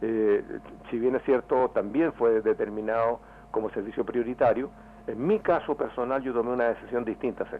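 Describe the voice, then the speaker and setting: This man has an ordinary speaking voice, talking at a moderate pace with medium pitch and fairly even intonation. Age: 60s. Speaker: member of parliament. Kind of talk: radio interview.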